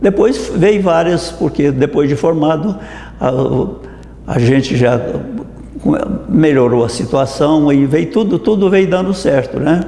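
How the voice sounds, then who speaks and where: With audible room echo and noticeable background noise, a man with a fairly high pitch speaks very slowly, his intonation lively and his loudness very even. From Brazil, Minas Gerais countryside. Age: 80s+. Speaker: dentist. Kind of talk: interview testimony. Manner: halting, with many restarts.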